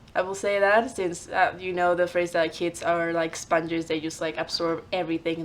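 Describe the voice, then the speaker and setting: This woman speaks with a Spanish accent at a moderate pace. Her pitch is fairly low. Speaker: vlogger. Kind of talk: casual vlog monologue. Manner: hesitant with fillers.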